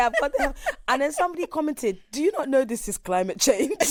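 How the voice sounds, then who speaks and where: An animated, high-pitched woman's voice. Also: dry, close sound with no echo. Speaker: podcast co-host. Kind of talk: casual chat.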